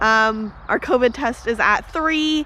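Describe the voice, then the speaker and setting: A woman's bright, sharp voice with ordinary pitch variation and an American accent. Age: 20s. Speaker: travel vlogger. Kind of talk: casual vlog narration.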